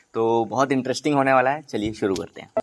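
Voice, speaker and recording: A man is heard with music in the background. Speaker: channel host and interviewer. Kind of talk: casual talk to camera.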